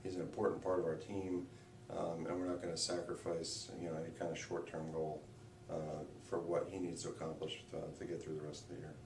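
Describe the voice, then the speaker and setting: In a room with audible echo and noticeable background noise, a man talks very fast in a very deep, low pitch with monotone, flat intonation. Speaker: high school football head coach. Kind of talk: radio interview. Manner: hesitant, many fillers.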